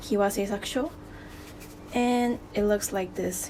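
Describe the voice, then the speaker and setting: She speaks at a medium pitch with a non-native accent. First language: non-native English speaker. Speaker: DIY accessory maker. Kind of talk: DIY tutorial talk to camera.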